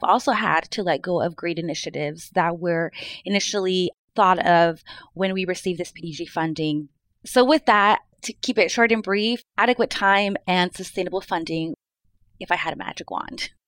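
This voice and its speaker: A woman with a West Coast accent speaks at a moderate pace and a medium pitch, her pitch varying in an ordinary way, in a dry, close recording with no echo. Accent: American West Coast. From Mid-Willamette Valley, Oregon. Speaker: early learning partner engagement specialist. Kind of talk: panel interview.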